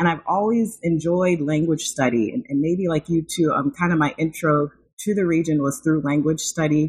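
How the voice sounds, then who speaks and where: Speaking at a moderate pace with very even loudness, a woman's fairly low, somewhat breathy voice shows ordinary pitch variation. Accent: American. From rural Illinois, US Midwest. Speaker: academic author, university administrator. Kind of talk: interview.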